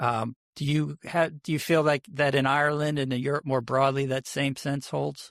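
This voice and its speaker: Speaking with an American accent, a man with a fairly high pitch keeps a monotone, flat intonation at a moderate pace with hardly any pauses, in a dry, close sound with no echo and a very clean recording with a silent background. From United States. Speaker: podcast co-host. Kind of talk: casual chat.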